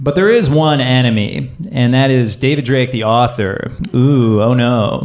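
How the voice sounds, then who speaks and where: Speaking at a fairly slow pace, a man with an unremarkable speaking voice keeps a medium pitch, ordinary pitch variation and very even loudness. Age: 30s. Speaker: storyteller. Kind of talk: personal storytelling.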